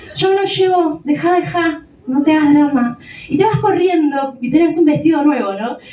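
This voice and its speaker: A woman with a Rioplatense accent speaks at a moderate pace in a high pitch with ordinary pitch variation over noticeable background noise. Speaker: stand-up comedian. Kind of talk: stand-up. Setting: stage with audience.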